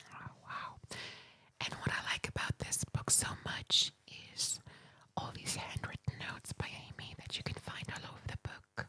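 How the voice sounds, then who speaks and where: Someone whispers at a moderate pace. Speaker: ASMR creator. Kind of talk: ASMR book reading. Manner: whispered.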